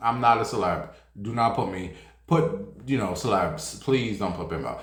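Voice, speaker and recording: A man's animated tone and very wide pitch swings at a fairly slow pace, amid noticeable background noise and audible room echo. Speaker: celebrity gossip streamer. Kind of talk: casual chat.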